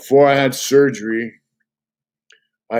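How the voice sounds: A man is speaking at a fairly slow pace. His intonation stays fairly even.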